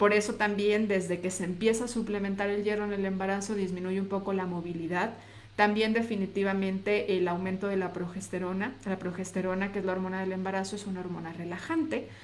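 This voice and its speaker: Amid audible room echo, a woman speaks at a medium pitch and fairly quick pace with fairly even intonation and hardly any pauses. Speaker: nutritionist. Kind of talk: live stream talk. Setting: live video on social media.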